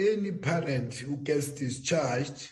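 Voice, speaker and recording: A fairly high-pitched male voice, dark and mellow and somewhat breathy, at a fairly slow pace with audible room echo. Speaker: government health official. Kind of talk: panel discussion.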